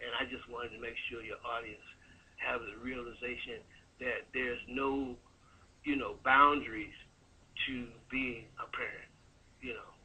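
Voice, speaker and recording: A man talks at a moderate pace, stopping for long, frequent pauses. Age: 60s. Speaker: caller. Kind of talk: call-in comment.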